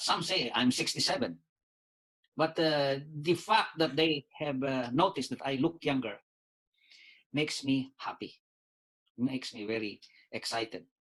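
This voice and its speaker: With a bright, sharp tone and a fairly high pitch, a man talks at a moderate pace, using lively intonation and long, frequent pauses. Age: 60s. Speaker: doctor and lawyer. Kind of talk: testimony. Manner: halting, many fillers.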